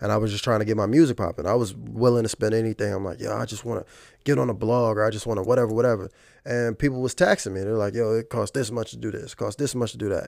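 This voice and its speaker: At a very fast pace, a man talks with a medium pitch and ordinary pitch variation on a very clean recording with a silent background. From Virginia, Fredericksburg. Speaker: hip hop artist. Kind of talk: casual interview.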